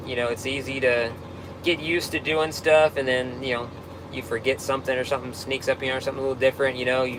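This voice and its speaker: Noticeable background noise accompanies a man of medium pitch. He talks at a very fast pace with monotone, flat intonation. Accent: American. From Texas. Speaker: tow truck operator. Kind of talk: live stream Q&A reading comments. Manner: casual, halting with fillers.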